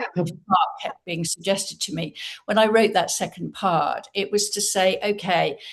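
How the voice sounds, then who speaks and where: Speaking with an English accent, a woman keeps a fairly slow pace at medium pitch with ordinary pitch variation. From Britain. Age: 70s. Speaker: novelist and entrepreneur. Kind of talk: interview.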